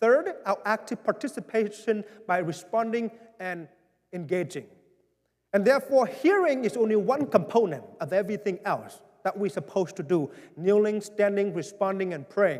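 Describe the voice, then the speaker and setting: This man has a high-pitched voice. He speaks with a Vietnamese accent. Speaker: pastor. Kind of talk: town hall address. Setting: church.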